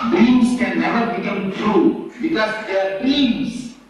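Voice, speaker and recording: An extremely high-pitched male voice at a fairly slow pace, with ordinary pitch variation, audible room echo and noticeable background noise. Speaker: spiritual teacher. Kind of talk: lecture.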